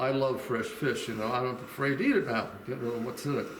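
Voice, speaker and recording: Noticeable background noise and audible room echo around a man at a moderate pace. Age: 80s+. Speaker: senior citizen interviewee. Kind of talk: casual interview.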